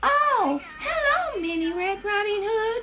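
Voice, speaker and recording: A put-on, squeaky, female-sounding character voice at an extremely high pitch and a fairly slow pace, over loud background noise. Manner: feigned sweetness, deceptive.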